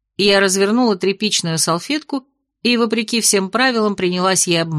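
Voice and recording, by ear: With ordinary pitch variation, a passage is read aloud in a natural voice, and the background is quiet.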